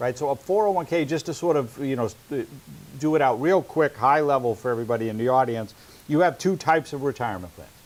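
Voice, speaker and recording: Talking at a very fast pace, a man with a New England accent uses lively intonation at a fairly high pitch. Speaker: financial advisor and webinar host. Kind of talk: casual educational webinar. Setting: webinar.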